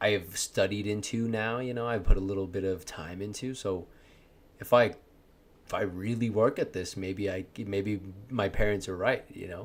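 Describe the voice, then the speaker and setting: At a moderate pace, a man with a fairly low voice keeps a fairly even intonation while his loudness swings widely. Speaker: streamer. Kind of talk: casual chat. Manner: talkative, halting with repeats.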